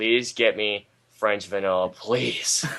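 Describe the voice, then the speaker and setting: A man puts on a character voice, talking at a fairly low pitch and a fairly slow pace. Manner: passionate, eager, longing.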